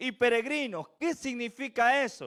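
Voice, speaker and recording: A man's extremely high voice at a very slow pace, dry and close with no echo, on a very clean recording with a silent background. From Venezuela. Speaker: preacher. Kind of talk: sermon.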